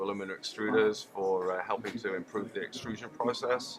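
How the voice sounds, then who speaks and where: A man with a British accent talks at a fairly quick pace, his intonation fairly even, over noticeable background noise. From UK. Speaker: chemical engineer, industrial gas technology manager. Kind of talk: trade show interview. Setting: trade show.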